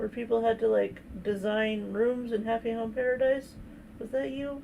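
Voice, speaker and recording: A soft-spoken woman with fairly high pitch at a moderate pace. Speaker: streamer doing live coloring. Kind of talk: casual live stream chat. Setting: live stream.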